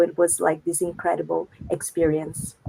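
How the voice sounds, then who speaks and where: A woman speaks with a Brazilian accent. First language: Brazilian Portuguese. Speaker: wikipedian, researcher and organizer. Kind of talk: live panel interview.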